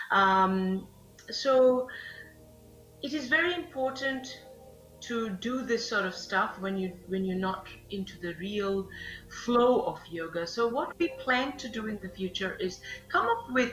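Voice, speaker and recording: Speaking at a fairly slow pace with a Bengali accent, a woman with a fairly high voice uses lively intonation while music plays in the background. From Bangladesh. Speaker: yoga instructor. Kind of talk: live fitness class. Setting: live stream. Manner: halting.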